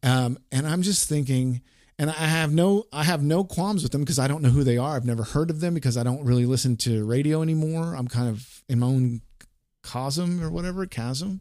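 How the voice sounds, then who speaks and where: In an American accent, a man talks at a fairly quick pace with a fairly high pitch, a dark, mellow tone and ordinary pitch variation. The recording is very clean with a silent background. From Oklahoma City, US. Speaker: rock radio DJ. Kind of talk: casual chat.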